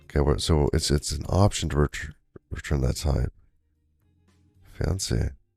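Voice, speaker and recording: A man with a very deep, low voice talks at a fairly slow pace, leaving long and frequent pauses over music in the background. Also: ordinary pitch variation. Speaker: live-streaming programmer. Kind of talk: casual live-stream chat while coding. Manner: halting, repeats words.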